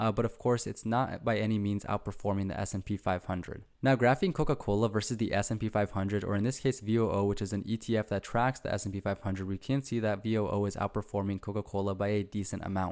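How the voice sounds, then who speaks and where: With hardly any pauses, a man talks very fast in a fairly low voice and fairly even intonation, on a very clean recording with a silent background. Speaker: finance YouTuber. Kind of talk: investing commentary.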